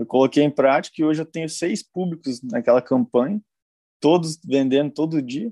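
A dark, mellow tone at a moderate pace, with ordinary pitch variation and a dry, close sound free of echo. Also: man, fairly high pitch for a man. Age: 20s. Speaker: dropshipping entrepreneur, mentoring student. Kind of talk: live-stream interview. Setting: live stream.

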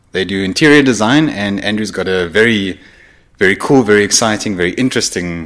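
A man with an ordinary speaking voice talks at a fairly quick pace and fairly low pitch, with ordinary pitch variation. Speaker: podcast host. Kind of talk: casual podcast interview. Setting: studio.

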